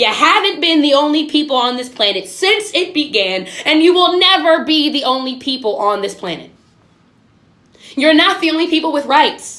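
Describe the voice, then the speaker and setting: A woman speaks at a moderate pace in a high pitch, her voice raised and projected. Her tone is passionate, with very wide pitch swings. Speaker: video podcast host. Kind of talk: impassioned monologue. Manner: loud; passionate, emphatic.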